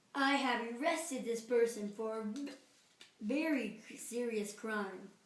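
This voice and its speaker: Using a put-on character voice, a woman speaks at a fairly high pitch and a fairly slow pace, with ordinary pitch variation, big swings in loudness, and slight echo. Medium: read story. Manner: gloomy.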